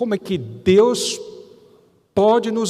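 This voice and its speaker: Audible room echo follows a man who talks at a very slow pace. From Brazil. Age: 60s. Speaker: pastor. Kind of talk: sermon. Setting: church.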